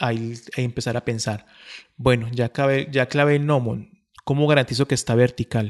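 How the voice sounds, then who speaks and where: Over a quiet background, a man talks at a moderate pace and medium pitch with ordinary pitch variation, in a dry, close sound with no echo. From Colombia, not Medellín. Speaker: planetarium astronomy educator. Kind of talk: casual interview. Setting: in a planetarium. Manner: halting, many fillers.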